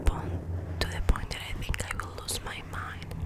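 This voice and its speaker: Whispering over noticeable background noise. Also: woman. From Argentina. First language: Spanish. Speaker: ASMR content creator. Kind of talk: ASMR ramble to camera. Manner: soft-spoken.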